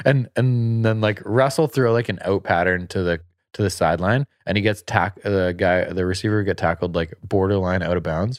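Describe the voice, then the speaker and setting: A man's fairly low voice at a moderate pace, with ordinary pitch variation, very even loudness, hardly any pauses, and a quiet background. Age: 30s. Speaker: sports podcast host. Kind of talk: casual chat. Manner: animated.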